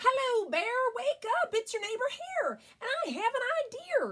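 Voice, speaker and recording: A woman uses a put-on character voice at an extremely high pitch. It sounds squeaky and moves at a moderate pace. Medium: read story. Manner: persuasive, cheerful.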